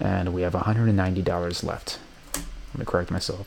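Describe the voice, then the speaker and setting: Very fast and very deep, a man's low-pitched voice carries audible room echo. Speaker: college student. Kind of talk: software tutorial walkthrough. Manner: casual, with some stuttering.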